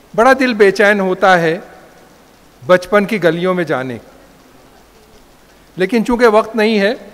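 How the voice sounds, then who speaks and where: A man's high-pitched voice with ordinary pitch variation and long, frequent pauses, over noticeable background noise. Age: 80s+. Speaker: professor. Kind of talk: speech at a function. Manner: formal.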